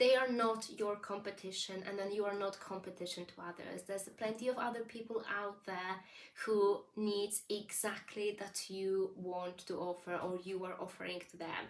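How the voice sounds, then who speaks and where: A woman with a non-native accent talks at a moderate pace in fairly even intonation. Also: medium pitch for a woman. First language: not English. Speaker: business coach. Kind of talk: vlog monologue, advice. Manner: conversational with fillers.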